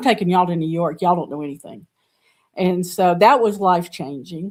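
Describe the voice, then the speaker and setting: A woman with a Southern US accent, fairly low pitch and ordinary pitch variation, on a very clean recording with a silent background. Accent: Southern US (Georgia). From US South, Georgia. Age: 70s. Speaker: artist and art teacher. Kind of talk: interview conversation.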